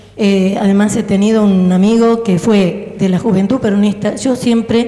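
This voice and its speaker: Against noticeable background noise, a woman talks at a fairly slow pace, her medium-pitched voice keeping a fairly even intonation. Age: 60s. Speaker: audience member. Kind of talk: audience comment at Q&A. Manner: halting.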